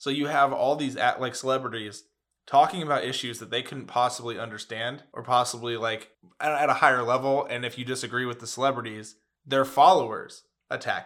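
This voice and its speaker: Fairly even in intonation, a man speaks at medium pitch in an ordinary speaking voice. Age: 20s. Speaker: podcast co-host. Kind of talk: casual chat.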